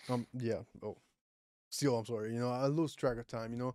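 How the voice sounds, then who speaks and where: A man with a Puerto Rican accent talks at a very fast pace in a medium pitch with ordinary pitch variation, his voice dry and close with no echo on a very clean recording over a silent background. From Puerto Rico. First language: Spanish. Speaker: podcast host. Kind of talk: casual chat. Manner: occasional stumbles over words.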